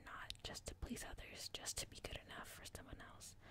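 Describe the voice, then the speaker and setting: A woman whispers at a fairly quick pace. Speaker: ASMR creator. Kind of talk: ASMR book reading to help sleep. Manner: soft-spoken and whispered.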